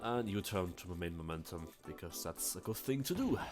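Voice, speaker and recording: Music plays behind a man who speaks at a moderate pace with ordinary pitch variation. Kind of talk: casual gaming commentary.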